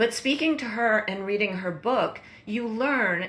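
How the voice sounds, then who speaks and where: There is noticeable background noise as a woman talks at a very slow pace with ordinary pitch variation. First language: not English. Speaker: documentary producer. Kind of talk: interview. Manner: halting.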